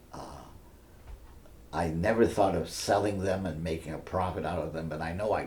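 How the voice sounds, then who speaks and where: A man's very deep, low, somewhat breathy voice at a moderate pace, with fairly even intonation and audible room echo. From Maine, Biddeford (Franco-American). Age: 80s+. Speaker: retired French professor and author. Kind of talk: oral history interview. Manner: halting, with frequent fillers and repeats.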